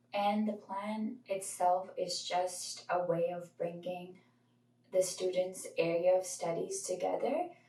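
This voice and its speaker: A woman's medium-pitched, somewhat breathy voice with a dark, mellow tone, ordinary pitch variation and a fairly slow pace. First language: not English. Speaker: college student. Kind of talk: informal talk to camera about studies. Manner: casual, with hesitations.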